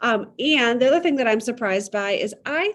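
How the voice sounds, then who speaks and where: Very wide pitch swings in a Midwestern accent. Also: woman. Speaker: podcast host and needlepoint shop owner. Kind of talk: casual interview chat.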